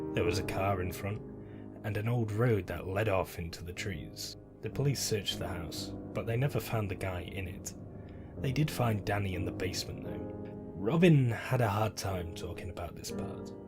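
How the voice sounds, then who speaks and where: With music playing in the background, a man speaks at a moderate pace and a fairly low pitch, using ordinary pitch variation. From British. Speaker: narrator. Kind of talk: horror story narration.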